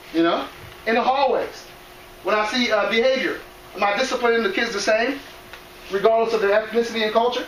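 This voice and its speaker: Amid noticeable background noise and audible room echo, a man talks very fast at an extremely high pitch with fairly even intonation and long, frequent pauses. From Cameroon, raised in US from age five. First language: non-English. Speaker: educator, presenter on cultural awareness. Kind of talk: presentation to school staff. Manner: conversational, addresses audience directly.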